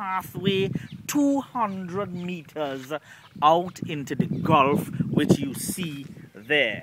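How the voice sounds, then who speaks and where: Over noticeable background noise, a man with a Trinidadian accent speaks very slowly in a high pitch with lively intonation. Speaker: storyteller and stage MC. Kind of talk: casual reading of history to camera.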